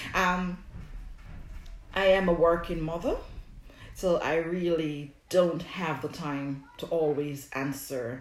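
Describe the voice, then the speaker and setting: A woman speaks with a Jamaican accent. Audible room echo surrounds her voice. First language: Jamaican Patois. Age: 40s. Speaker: herbalist and skincare product maker. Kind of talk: live stream Q&A. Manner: casual, hesitant with fillers.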